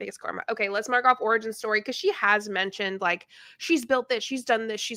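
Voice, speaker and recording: Fast and animated, a woman in an American accent speaks at a very fast pace with a fairly high pitch, ordinary pitch variation, a bright, sharp tone and big swings in loudness, in a very clean recording with a silent background. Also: dry, close sound with no echo. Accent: Texan, comes out when passionate. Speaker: YouTuber reacting to videos. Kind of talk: reaction commentary.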